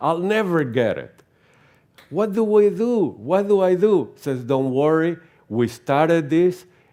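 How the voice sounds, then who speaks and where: A man's dark, mellow tone in a Venezuelan accent, with lively intonation. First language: Spanish. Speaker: theosophy lecturer. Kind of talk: lecture. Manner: halting, with frequent repetitions.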